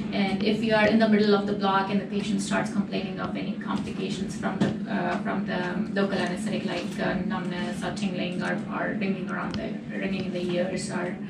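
A woman speaks fairly quickly while loud noise fills the background. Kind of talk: lecture. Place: meeting room. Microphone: camera far.

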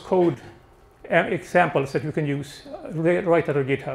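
His pitch shows ordinary variation. The speaker here is a man. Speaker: presenter. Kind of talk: presentation talk. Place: hall. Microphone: handheld.

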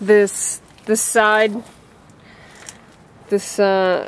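The recording of this woman is dry, with no echo. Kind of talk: casual repair narration. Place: street. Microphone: phone near.

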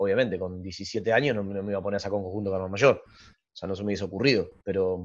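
A man's fairly low voice, very fast with hardly any pauses, big swings in loudness and fairly even intonation. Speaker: carnival group founder and choreographer. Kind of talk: casual interview chat.

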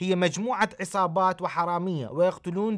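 A man with an Iraqi accent speaks at a fairly slow pace in a high pitch, with a quiet background. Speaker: pastor and TV host; pastor, TV host. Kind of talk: TV commentary. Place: studio.

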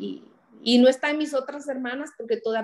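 A woman speaks with a quiet background. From Honduras, Santa Rosa de Copán; Honduras. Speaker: writer and public policy specialist; interview guest. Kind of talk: interview. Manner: halting. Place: home room. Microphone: video call.

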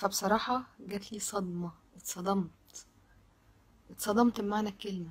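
A woman speaks at a fairly slow pace. Her voice is somewhat breathy. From Egypt. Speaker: social media commentator. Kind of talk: video monologue. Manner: animated. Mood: indignant, shocked. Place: home room. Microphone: phone near.

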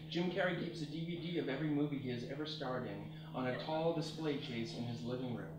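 With music playing in the background and audible room echo, a man talks at a fairly quick pace. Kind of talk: public reading of comic prose. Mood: deadpan comic narration. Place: stage. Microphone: camera far.

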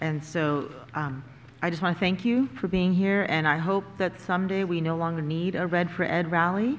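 At a moderate pace, a woman speaks with fairly low pitch and fairly even intonation.

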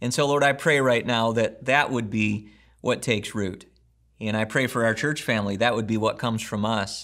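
A man talks at a moderate pace with fairly even intonation against a quiet background. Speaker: pastor. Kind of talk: sermon intro and prayer. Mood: earnest, gentle. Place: home room.

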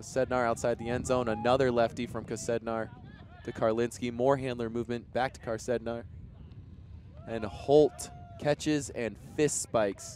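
Moderate, fairly even speech from a man at a medium pitch amid noticeable background noise. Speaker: sports commentator. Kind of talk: live sports commentary.

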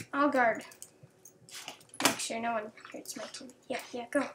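A woman talks fairly slowly while noticeable background noise fills the recording. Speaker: gaming video creator. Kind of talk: gameplay commentary. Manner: quiet, subdued.

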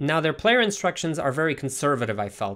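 There's a man speaking over a quiet background. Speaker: gaming YouTuber. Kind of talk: video game commentary, part casual chat, part live match commentary. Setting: home recording with gameplay footage. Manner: animated, excited play-by-play with quick reactions during matches; conversational, analytical when going over stats.

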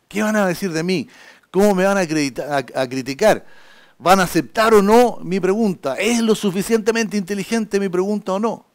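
A man's high-pitched voice at a moderate pace against a quiet background. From Chile. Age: 60s. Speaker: journalist and public speaking lecturer; journalist, public speaking lecturer. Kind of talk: lecture. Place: classroom.

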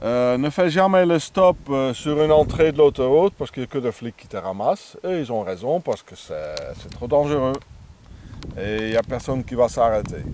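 Speaking with a non-native accent, a man uses lively intonation and a fairly high pitch, his volume swinging widely in a dry recording with no echo and light background noise. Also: moderate pace. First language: not French (speaking French). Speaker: vagabond vlogger. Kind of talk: outdoor video tutorial. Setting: outdoors. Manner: halting, many hesitations. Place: open country.

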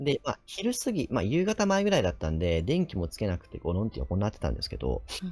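Faint background music under a man's voice. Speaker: nurse and ghost story teller; ghost story teller. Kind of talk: ghost story telling in conversation.

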